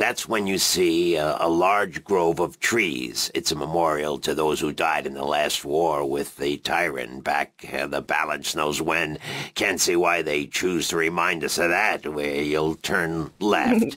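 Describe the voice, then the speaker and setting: In a put-on character voice, a man speaks with a very deep, low pitch. His pace is fairly slow, with hardly any pauses. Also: ordinary pitch variation. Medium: video game. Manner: rambling, fussy.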